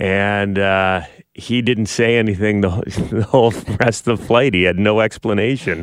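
In a plain, everyday voice, a man speaks at a fairly slow pace and fairly low pitch, his loudness very even. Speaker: radio morning show host. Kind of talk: casual chat. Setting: radio studio.

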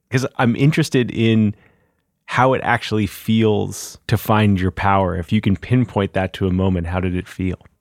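A man with a plain, everyday voice speaks at a moderate pace, fairly low in pitch with ordinary variation. The recording is very clean with a silent background, dry and close with no echo. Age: 40s. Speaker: podcast host. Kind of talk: interview; scripted narration. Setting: studio.

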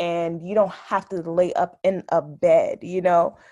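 A woman's fairly low-pitched voice with an American accent against a quiet background. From New Jersey (Orange). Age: 30s. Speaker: accountant and mother sharing birth story. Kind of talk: interview, personal testimony.

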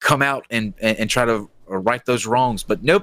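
A man with a plain, everyday voice talks at a moderate pace and medium pitch in a dry, close sound with no echo. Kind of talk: casual chat.

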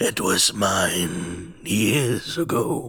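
A man does a raspy, put-on character voice. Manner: whispering.

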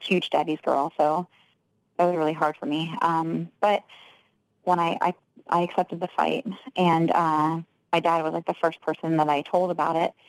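A woman speaks at a moderate pace with fairly even intonation and fairly low pitch. Hers is an unremarkable speaking voice. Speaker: professional fighter. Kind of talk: casual interview.

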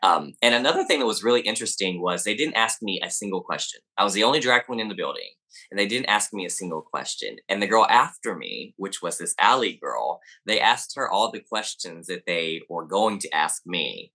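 Fairly quick talk from a man with a Southern US accent. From US South, Arkansas. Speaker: activist and drag queen. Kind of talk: interview.

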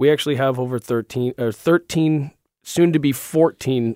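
At a moderate pace, a man talks in an ordinary speaking voice with ordinary pitch variation. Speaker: company product representative. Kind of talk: radio interview, product talk. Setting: studio.

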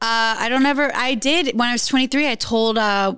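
With an American accent, a woman uses a normal speaking voice, fairly high in pitch, at a moderate pace with ordinary pitch variation. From US South, rural Louisiana. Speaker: model and influencer. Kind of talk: casual interview chat.

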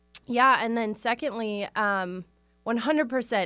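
A woman with a plain, everyday voice, fairly high in pitch, with an American accent and a moderate pace. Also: very clean recording, silent background. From US Midwest, Wisconsin. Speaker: branding photographer. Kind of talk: interview.

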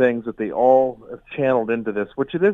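A man uses a normal speaking voice at medium pitch, with ordinary pitch variation and a moderate pace. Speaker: newspaper columnist. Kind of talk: radio interview.

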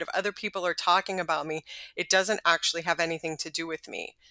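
A woman with an American accent speaks in a bright, sharp tone with monotone, flat intonation, the sound dry and close with no echo. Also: very clean recording, silent background. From Texas. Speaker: writer and attorney. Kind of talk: interview.

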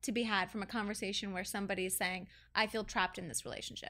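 A woman's bright, sharp tone at a very fast pace, on a very clean recording with a silent background. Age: 30s. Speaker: reality TV personality. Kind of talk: casual chat.

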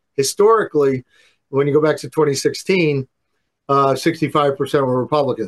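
A man speaks in a plain, everyday voice with fairly high pitch. His fairly quick delivery sounds dry and close with no echo. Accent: American. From New York. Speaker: pollster. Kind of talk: interview on politics and polling. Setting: remote interview.

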